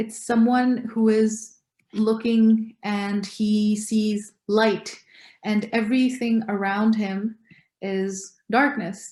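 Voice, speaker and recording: A woman speaks with a dark, mellow tone and a fairly high pitch. Her voice is somewhat breathy. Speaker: law student giving a talk. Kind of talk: presentation. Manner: halting, many fillers.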